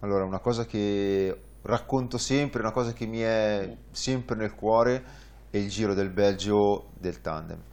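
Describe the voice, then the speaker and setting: A man talks in a plain, everyday voice at a fairly low pitch. His pace is fairly slow and his intonation fairly even. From northern Italy, Varese. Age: 30s. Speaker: tandem cycling guide pilot. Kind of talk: interview. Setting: studio.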